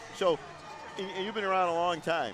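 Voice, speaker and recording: A man is heard speaking with noticeable background noise. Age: 60s. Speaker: sports broadcaster. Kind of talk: live commentary.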